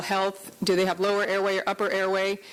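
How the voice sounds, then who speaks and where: A woman talks at a very fast pace and medium pitch. Noticeable background noise is present. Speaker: veterinary surgeon. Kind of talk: conference lecture.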